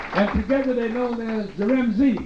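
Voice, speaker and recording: Noticeable background noise and audible room echo around a man speaking. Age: 60s. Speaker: nightclub entertainer. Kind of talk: stand-up. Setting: stage with audience. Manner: animated.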